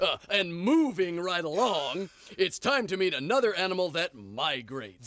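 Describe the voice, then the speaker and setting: A man puts on a cartoonish character voice, high-pitched and at a moderate pace. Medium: puppet show.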